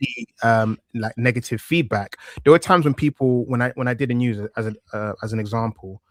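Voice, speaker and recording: With a strong East London accent, a man of medium pitch talks at a fairly quick pace with ordinary pitch variation, in a dry, close sound with no echo. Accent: thick East London. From East London, England. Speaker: wrestling news presenter, interviewee. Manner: conversational, hesitant, repeats words.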